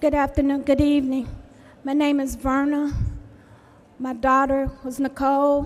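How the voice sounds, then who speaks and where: Speaking at a moderate pace with long, frequent pauses, a woman keeps her high pitch monotone and flat. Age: 70s. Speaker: victim's mother. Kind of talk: public testimony speech. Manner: halting.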